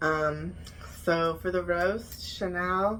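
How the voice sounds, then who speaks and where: There is audible room echo in this clip. It carries a woman's voice. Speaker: YouTuber reviewing reality TV. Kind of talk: casual vlog review. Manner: animated.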